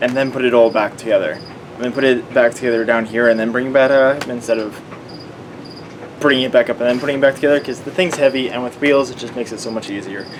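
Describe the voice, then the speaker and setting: Noticeable background noise runs behind a man with a Canadian accent who speaks at a medium pitch and a very fast pace. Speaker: vlogger and automotive student. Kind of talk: casual vlog tutorial. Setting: basement at night. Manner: quiet.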